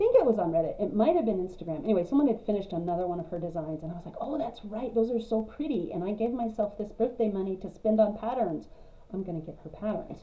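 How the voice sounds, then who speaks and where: Very fast speech in an American accent, with big swings in loudness and noticeable background noise. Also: woman, medium pitch for a woman. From West Texas (high plains). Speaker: cross-stitch vlogger. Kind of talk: casual vlog monologue.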